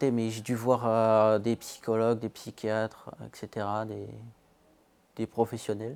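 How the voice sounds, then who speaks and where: Speaking at a very slow pace with long, frequent pauses, a man with a medium pitch keeps a monotone, flat intonation in a very clean recording with a silent background and a dry, close sound with no echo. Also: big swings in loudness. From Colombia, raised in France from age 3. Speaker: young person giving testimony. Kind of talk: testimony. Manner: hesitant, self-correcting.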